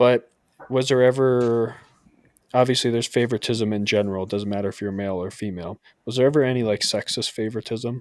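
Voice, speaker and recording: At a very fast pace, a man with a slight New York accent speaks at medium pitch with fairly even intonation. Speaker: podcast host, military service member. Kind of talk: casual chat.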